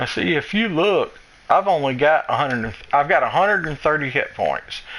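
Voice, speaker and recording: In a Southern US accent, a man speaks with a fairly high pitch. His pitch variation is ordinary. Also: moderate pace. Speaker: gaming streamer. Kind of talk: gameplay tutorial.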